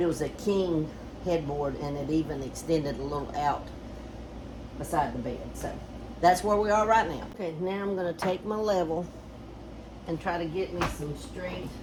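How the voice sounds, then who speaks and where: A woman with a Southern US accent and a fairly low pitch speaks at a moderate pace, her pitch varying an ordinary amount, with long, frequent pauses. Noticeable background noise and audible room echo surround her voice. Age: old. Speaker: DIY homestead vlogger. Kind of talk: casual DIY vlog. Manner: casual, halting.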